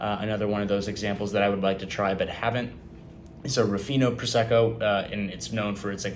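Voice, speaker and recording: A man with an American accent at a fairly low pitch, very fast, with fairly even intonation and audible room echo. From California. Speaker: student. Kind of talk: class presentation. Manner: halting, many fillers.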